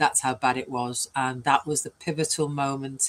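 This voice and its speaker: Talking in a British accent, a woman keeps to a moderate pace. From UK. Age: 60s. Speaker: business coach. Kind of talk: interview.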